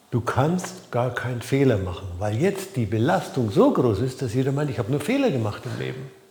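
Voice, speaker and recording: A man speaks at a moderate pace with lively intonation. Noticeable background noise and audible room echo fill the recording. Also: medium pitch for a man. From Franconia, Germany. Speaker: life coach. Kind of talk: talking-head video. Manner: hesitant, with fillers.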